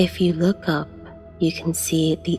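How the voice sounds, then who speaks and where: A woman speaks with music in the background. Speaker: guided meditation narrator. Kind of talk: guided meditation narration.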